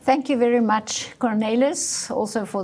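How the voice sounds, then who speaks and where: This woman's fairly high voice moves with ordinary pitch variation. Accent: Dutch. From South Africa, Dutch family. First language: Dutch. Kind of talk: interview. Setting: studio.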